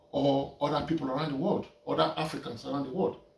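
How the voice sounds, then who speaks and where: A man with a fairly high pitch speaks at a moderate pace. His intonation is fairly even, with noticeable background noise. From Nigeria. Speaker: painter. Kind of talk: casual talk while painting. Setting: art studio. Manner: halting, repeating words.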